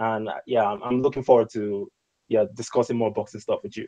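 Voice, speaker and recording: Dark and mellow in tone, a man speaks with an African accent. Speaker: YouTuber, show guest. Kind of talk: panel discussion on live stream. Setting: video call live stream.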